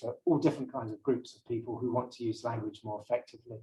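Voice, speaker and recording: Very fast, somewhat breathy speech from a man. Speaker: brand language consultant. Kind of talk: lecture. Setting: seminar room with live audience.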